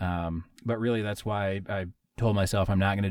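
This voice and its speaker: A man with an American accent speaks at a fairly quick pace in a normal speaking voice, his fairly low pitch held in fairly even intonation. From Wisconsin, near Minnesota border. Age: 30s. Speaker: podcast host. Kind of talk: casual chat.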